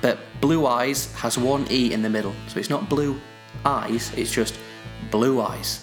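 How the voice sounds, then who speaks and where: Music plays in the background as a man with a northern English accent speaks at a moderate pace. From northern England. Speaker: podcast host. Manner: casual, chatty.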